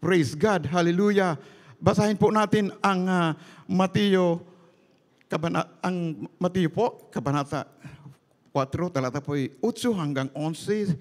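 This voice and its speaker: The speech moves at a very slow pace with long, frequent pauses over a quiet background. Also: man, high pitch for a man, ordinary pitch variation. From Philippines. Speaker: preacher. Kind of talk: sermon. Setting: church. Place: church. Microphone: handheld.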